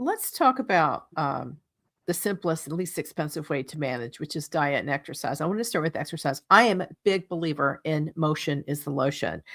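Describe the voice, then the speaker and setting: A woman's very deep, low voice with lively intonation at a fairly quick pace, on a very clean recording with a silent background. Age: 60s. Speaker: radio host. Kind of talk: radio interview. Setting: radio show.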